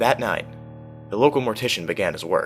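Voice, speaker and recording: Music plays in the background as a man speaks. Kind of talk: horror story narration (creepypasta reading).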